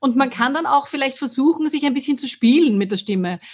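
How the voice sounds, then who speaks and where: This woman's voice is high-pitched. It rises and falls in an ordinary way. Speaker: podcast co-host, voice coach and singer. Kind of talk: casual chat. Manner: fast when excited.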